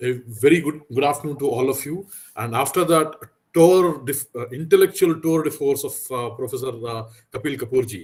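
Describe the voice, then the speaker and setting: At a moderate pace, this somewhat breathy voice rises and falls with ordinary pitch variation. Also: man, fairly high pitch for a man. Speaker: education official. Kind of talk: conference talk. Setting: video call.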